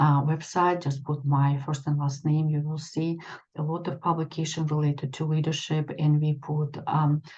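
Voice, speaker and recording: A woman speaks in a very deep, low, somewhat breathy voice. Her intonation is flat and monotone, and her pace is moderate. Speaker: extension educator and leadership trainer. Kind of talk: presentation. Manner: halting, many fillers.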